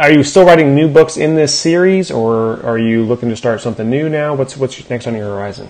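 With an unremarkable speaking voice, a man talks at a moderate pace in a fairly high pitch with ordinary pitch variation. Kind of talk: casual interview chat.

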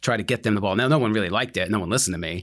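A man with an American accent in a very clean recording, silent background. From New Jersey. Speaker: utilities director. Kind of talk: interview conversation.

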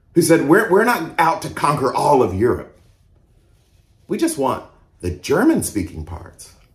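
Vocal fry in an American accent at a moderate pace, with audible room echo. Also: man. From US South (Mississippi and Georgia). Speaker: pastor. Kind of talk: sermon.

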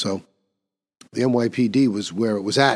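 Heard on a very clean recording with a silent background, a man with an American accent uses a plain, everyday voice at a medium pitch, speaking at a fairly slow pace with fairly even intonation. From New York City. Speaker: podcast host. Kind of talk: solo commentary.

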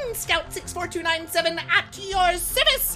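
An extremely high, squeaky put-on character voice comes through over clear background noise. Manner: eager, announcing itself.

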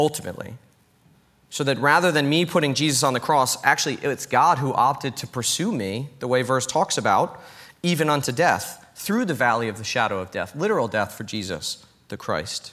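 A man's bright, sharp voice with lively intonation and an American accent. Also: fairly high pitch for a man, fairly quick pace. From New York. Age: 30s. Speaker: pastor. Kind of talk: sermon.

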